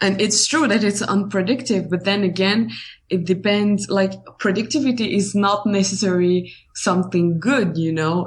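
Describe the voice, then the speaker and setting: A somewhat breathy woman's voice with an Algerian accent, medium in pitch, with ordinary pitch variation and a moderate pace. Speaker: writer. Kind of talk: casual interview chat. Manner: halting.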